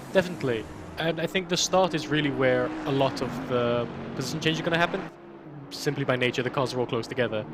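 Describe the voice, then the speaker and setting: A man with a British accent talks very fast at a medium pitch. Noticeable noise sits in the background. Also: ordinary pitch variation. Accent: sounds very British. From Malta. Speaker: sim racing co-commentator. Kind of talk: live commentary.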